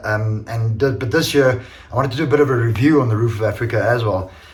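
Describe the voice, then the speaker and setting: A man's medium-pitched voice at a fairly quick pace, with noticeable background noise and audible room echo. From Portuguese heritage. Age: 50s. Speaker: amateur enduro racer and business owner. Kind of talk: casual video review. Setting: home workshop. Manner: hesitant, many fillers.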